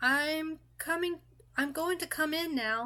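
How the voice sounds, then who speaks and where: In a put-on character voice pitched extremely high, a woman speaks at a fairly slow pace with ordinary pitch variation. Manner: friendly, non-threatening.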